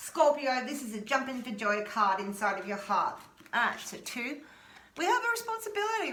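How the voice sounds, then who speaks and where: A raised, projected voice with an Australian accent rushes at a very fast pace through audible room echo and noticeable background noise. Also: woman. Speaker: tarot reader. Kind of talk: tarot reading. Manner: animated.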